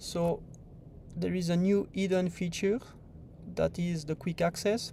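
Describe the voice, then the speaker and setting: Someone speaks at a fairly slow pace with a French accent. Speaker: software developer presenting livestream tutorial. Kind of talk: livestream tutorial. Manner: casual, hesitant with fillers.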